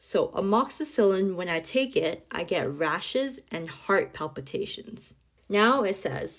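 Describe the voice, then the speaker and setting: A woman with an unremarkable speaking voice talks at a medium pitch and a fairly slow pace. Her intonation is lively. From China (Guangzhou), moved to Canada as adult. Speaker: nurse. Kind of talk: tutorial. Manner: clear, explanatory.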